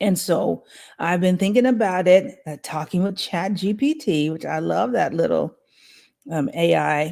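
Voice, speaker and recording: A woman with an American accent speaks at a fairly slow pace and medium pitch, with lively intonation. Her dark, mellow tone carries vocal fry. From United States. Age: 60s. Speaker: spiritual guide and tarot reader. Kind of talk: casual chat. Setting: livestream.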